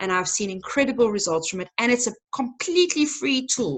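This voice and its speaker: At a fairly quick pace, a woman speaks with a high pitch and very wide pitch swings. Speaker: nonprofit tech trainer. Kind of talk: webinar presentation. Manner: fast.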